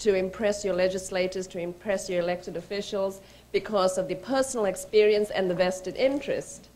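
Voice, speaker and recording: A woman speaks at a moderate pace with an American accent. Her intonation is fairly even. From Georgia, US. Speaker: think tank executive. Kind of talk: speaker introduction. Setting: conference stage with audience. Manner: hesitant, many fillers. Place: hall. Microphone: podium.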